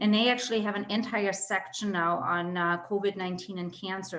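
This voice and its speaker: Fairly even intonation with audible room echo. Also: woman. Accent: German. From Germany (Berlin). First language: German. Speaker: medical oncologist. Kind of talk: educational webinar talk. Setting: video call.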